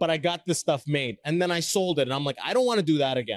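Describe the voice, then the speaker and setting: A plain, everyday voice from a man with a Canadian accent, fairly high in pitch, fairly quick, with lively intonation, a dry, close sound with no echo and a quiet background. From Canada. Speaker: podcast host and stand-up comedian. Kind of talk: casual interview chat. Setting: busy conference hall.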